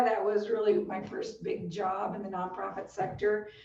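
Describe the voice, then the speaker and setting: A woman speaks at a fairly slow pace and medium pitch. Audible room echo trails her words. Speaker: nonprofit fundraising consultant. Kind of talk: webinar presentation.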